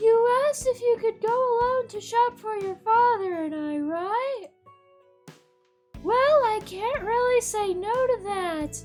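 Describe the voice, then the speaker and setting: Over faint background music, a woman does a put-on character voice at an extremely high pitch, with lively intonation and a fairly slow pace. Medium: game stream. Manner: warm, motherly.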